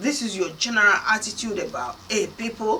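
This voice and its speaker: A woman's fairly high voice with an African accent, over noticeable background noise. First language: Kana (Nigerian language). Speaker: motivational speaker. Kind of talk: motivational talk.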